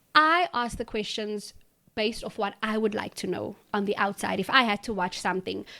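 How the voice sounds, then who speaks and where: Bright and sharp in tone, a woman with a South African accent speaks at a fairly high pitch with ordinary pitch variation. Her moderate pace comes through in a very clean recording with a silent background. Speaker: presenter and creative director. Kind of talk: interview. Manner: talkative.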